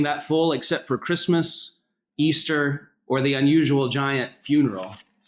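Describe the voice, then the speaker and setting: At a fairly slow pace, a man speaks with a fairly high pitch and ordinary pitch variation. His loudness stays very even. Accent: American. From US South, North Carolina. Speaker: senior minister, pastor. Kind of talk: speech at interfaith summit.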